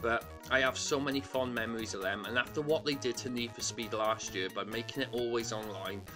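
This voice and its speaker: A man's voice sits at a medium pitch. Behind it, music can be heard. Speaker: retro video game collector. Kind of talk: casual talk to camera.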